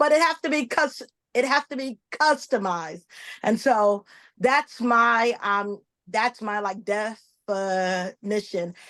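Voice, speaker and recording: A woman speaks very slowly with lively intonation and a fairly high pitch, her tone bright and sharp, the sound dry and close with no echo against a quiet background. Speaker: panelist. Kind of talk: panel discussion.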